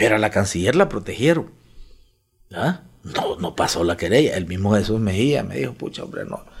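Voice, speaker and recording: In a Honduran accent, a man with a fairly low, fry-edged voice speaks at a moderate pace while his pitch swings very widely. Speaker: politician. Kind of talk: interview.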